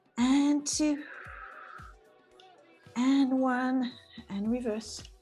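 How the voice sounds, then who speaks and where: Music plays in the background as a woman speaks at a high pitch with a non-native accent. Her intonation stays fairly even. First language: not English. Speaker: pilates instructor. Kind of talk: live fitness class instruction. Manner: encouraging.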